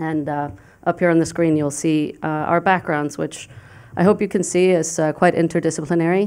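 This woman has a fairly low pitch and fairly even intonation, speaking at a moderate pace. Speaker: international affairs professor. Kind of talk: panel presentation. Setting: stage with audience. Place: hall. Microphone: podium.

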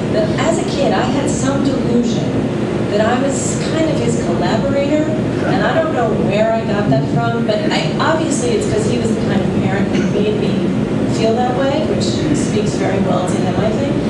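Loud background noise surrounds a woman speaking at a moderate pace. Room echo is audible. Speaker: panelist. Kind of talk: panel discussion answer. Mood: reflective. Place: hall.

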